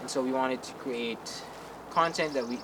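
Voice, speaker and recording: The speaker is a man talking at a moderate pace. Noticeable background noise and audible room echo come through. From Philippines. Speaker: vlogger. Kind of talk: vlog monologue.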